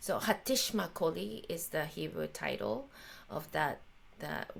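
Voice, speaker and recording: This woman has a Japanese accent. She speaks at a fairly slow pace. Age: 50s. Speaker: jazz violinist and composer. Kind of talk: interview conversation. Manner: halting, many fillers.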